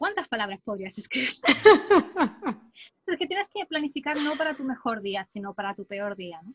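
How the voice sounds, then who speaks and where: A woman with a high pitch talks at a moderate pace with hardly any pauses, using very wide pitch swings and big swings in loudness. The sound is dry and close, with no echo. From southern Spain. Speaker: writer and editor. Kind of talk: interview.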